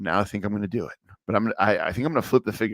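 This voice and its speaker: A man speaks at a very fast pace in a medium pitch, on a very clean recording with a silent background. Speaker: toy collector streamer. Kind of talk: casual chat. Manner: casual, filler-heavy.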